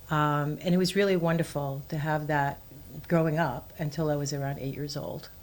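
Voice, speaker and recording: Speaking at a moderate pace, a woman with an American accent has a very deep, low pitch and fairly even intonation. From New York City, Queens. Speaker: community organization leader. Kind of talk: interview. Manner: hesitant, with frequent fillers.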